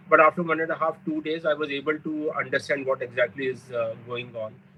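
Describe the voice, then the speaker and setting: A man talks while noticeable background noise continues underneath. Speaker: cancer survivor. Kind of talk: testimony. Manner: hesitant, many filler 'uh's.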